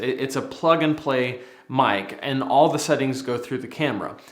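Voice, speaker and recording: A man talks at a moderate speed with ordinary pitch variation, while audible room echo and noticeable background noise surround him. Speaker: tech youtuber reviewing microphones. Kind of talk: tutorial. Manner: loud, projecting.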